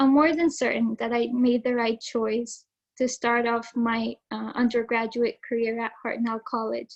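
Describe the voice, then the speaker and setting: A woman speaks with an Arabic accent at a fairly high pitch. Her pace is fairly slow and her intonation flat and monotone. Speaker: student speaker, valedictorian. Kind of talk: prepared speech. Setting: video call.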